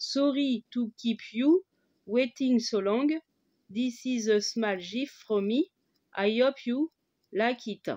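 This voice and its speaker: In a French accent, a woman with a high pitch and a dark, mellow tone talks at a very slow pace with long, frequent pauses and ordinary pitch variation, the sound dry and close with no echo. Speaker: crafter. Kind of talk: reading aloud a note.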